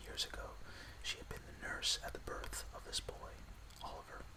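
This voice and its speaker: The speaker keeps a moderate pace and a calm tone. Noticeable background noise runs underneath. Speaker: ASMR podcast host and storyteller. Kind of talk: audiobook-style reading of a classic novel with dialogue. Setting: ASMR podcast recording. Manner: whispered, soft-spoken, calm.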